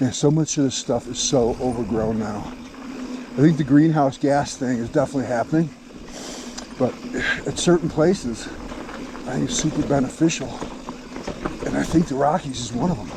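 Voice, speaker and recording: Over noticeable background noise, a man with a fairly high pitch and ordinary pitch variation talks at a fairly quick pace broken by long, frequent pauses. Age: 60s. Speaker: mountain biker vlogger. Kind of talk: casual chat. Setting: outdoors. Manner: casual, relaxed.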